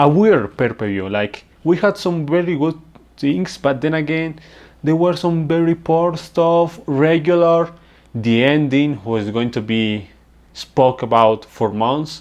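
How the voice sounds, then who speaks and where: A man with a non-native accent speaks at a very slow pace, his intonation lively and his pitch fairly high. The background is quiet. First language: non-native English speaker. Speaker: wrestling reviewer. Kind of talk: casual review talk.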